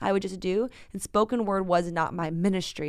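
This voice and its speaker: A woman's fairly low voice with vocal fry and an American accent, at a moderate pace, in a very clean recording with a silent background. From San Francisco, US West Coast. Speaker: pastor, author and spoken word artist. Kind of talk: interview conversation.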